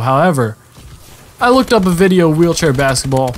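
Noticeable background noise sits behind this voice. A man talks at a moderate pace with lively intonation. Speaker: gaming commentator.

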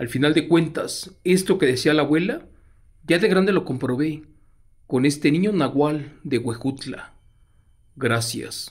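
A dramatic, somewhat breathy delivery at a fairly slow pace, with long, frequent pauses and ordinary pitch variation. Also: man, fairly high pitch for a man. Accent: Mexican. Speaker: horror storyteller reading listener letters live. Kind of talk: live ghost story narration, reading a listener's letter. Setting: live stream. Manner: hushed, suspenseful, dramatic.

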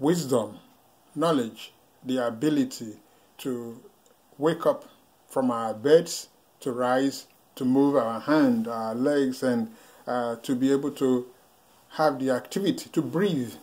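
At a slow pace, a man speaks at medium pitch with ordinary pitch variation, a slightly mellow tone and long, frequent pauses.

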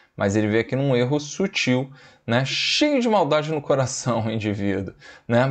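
Speaking at a moderate pace, a man uses a fairly high pitch and lively intonation. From Brazil, Espírito Santo (Vila Velha); Espírito Santo, Brazil. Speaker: biology teacher. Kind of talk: lecture. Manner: animated.

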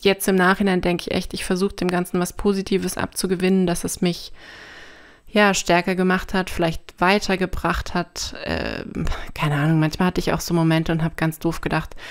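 At a fairly quick pace, a woman with a medium pitch talks in a monotone, flat way, in a very clean recording with a silent background. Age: 30s. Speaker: podcast guest with chronic back problems. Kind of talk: personal testimony in interview.

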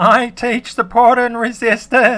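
Using a put-on character voice, a man speaks in an extremely high pitch with monotone, flat intonation at a fairly slow pace. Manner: cartoonish.

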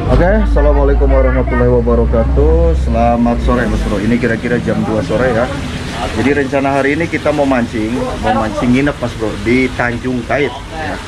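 A man speaks at a fairly quick pace while loud background noise fills the clip. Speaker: fishing vlogger. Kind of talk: casual vlog chat. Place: shop. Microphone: phone near.

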